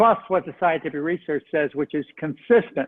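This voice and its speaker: This man has a high pitch. His intonation is lively. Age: 70s. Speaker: physician and diet author. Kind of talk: interview.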